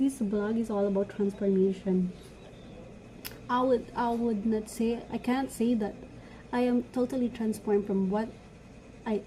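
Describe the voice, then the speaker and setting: A non-native accent at a fairly slow pace with fairly even intonation. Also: woman. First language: not English. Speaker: vlogger, law student. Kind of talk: motivational talk; casual vlog chat. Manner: halting, self-correcting.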